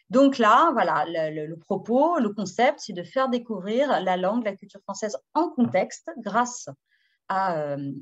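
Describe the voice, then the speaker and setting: A woman speaks in a Parisian accent at a fairly slow pace, her medium pitch making very wide swings. The background is quiet. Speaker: educational publisher presenter for French teachers. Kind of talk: webinar presentation. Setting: video webinar. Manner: hesitant, many fillers (euh, hein).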